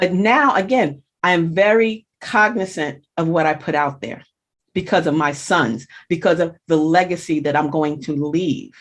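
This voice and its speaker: A woman with an unremarkable speaking voice talks at a fairly slow pace and fairly low pitch, using lively intonation against a quiet background. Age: 60s. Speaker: blogger and social media consultant. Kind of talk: interview chat.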